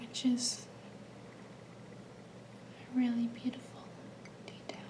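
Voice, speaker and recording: Amid noticeable background noise, a woman talks in a relaxed tone at a high pitch. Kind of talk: ASMR soft-spoken show-and-tell to camera. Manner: soft-spoken, slow, relaxed.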